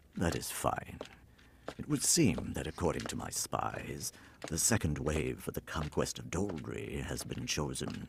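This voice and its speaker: A man puts on a character voice with a very deep, low pitch. He speaks at a moderate pace. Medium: fan dub. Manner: calm, quietly authoritative.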